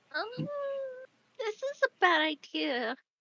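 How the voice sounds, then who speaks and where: A woman uses a put-on character voice, squeaky and extremely high in pitch. Her tone is bubbly. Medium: actual play. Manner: bubbly, jittery.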